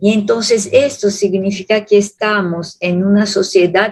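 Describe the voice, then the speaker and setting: A woman speaks with a fairly high pitch and a somewhat breathy voice. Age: 70s. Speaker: theologian lecturer. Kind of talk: Q&A answer at public lecture. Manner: halting.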